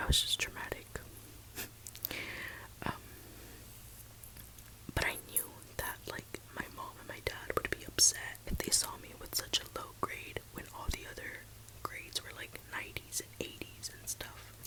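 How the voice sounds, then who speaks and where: A woman whispering at a fairly slow pace, with long, frequent pauses, big swings in loudness and noticeable background noise. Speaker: ASMR creator. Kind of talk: whispered suspense storytime ASMR. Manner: soft-spoken, whispering.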